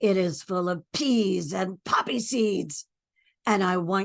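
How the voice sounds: Quiet surroundings behind a natural reading voice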